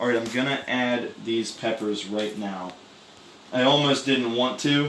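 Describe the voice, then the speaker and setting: Lively intonation carries along at a moderate pace. Noticeable background noise and audible room echo surround the voice. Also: man. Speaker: cooking video creator and streamer. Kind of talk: casual cooking tutorial. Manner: loud; casual, animated.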